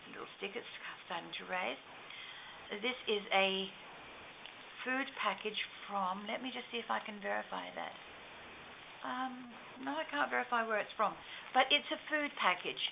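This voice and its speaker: Pauses are long and frequent, with noticeable background noise. A woman at medium pitch speaks with very wide pitch swings. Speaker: crafter. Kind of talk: show and tell tutorial. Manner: fast.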